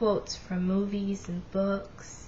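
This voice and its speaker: A woman talks in a flat monotone, with audible echo from the room. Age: 20s. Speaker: vlogger with Asperger's. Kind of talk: personal testimony vlog. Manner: casual, hesitant with fillers.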